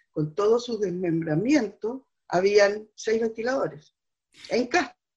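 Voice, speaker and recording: A woman speaks at a fairly slow pace in a fairly high, somewhat breathy voice. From southern Chile. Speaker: poet and teacher. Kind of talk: interview. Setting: remote from home.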